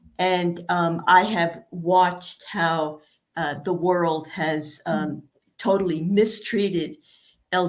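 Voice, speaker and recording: At a very slow pace, a woman speaks with fairly even intonation. Her pitch sits fairly low. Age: 70s. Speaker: author. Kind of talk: interview. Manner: halting.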